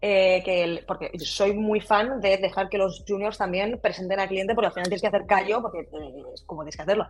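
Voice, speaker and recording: At a fairly quick pace and with hardly any pauses, an unremarkable speaking voice shows big swings in loudness but fairly even intonation. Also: woman, medium pitch for a woman. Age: 30s. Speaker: brand designer. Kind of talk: casual interview.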